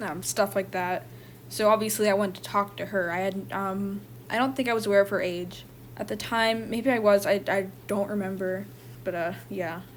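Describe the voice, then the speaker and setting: The voice is shaky. Its pitch varies in an ordinary way. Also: woman, medium pitch for a woman, moderate pace. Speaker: online content creator and artist. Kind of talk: personal testimony. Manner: halting.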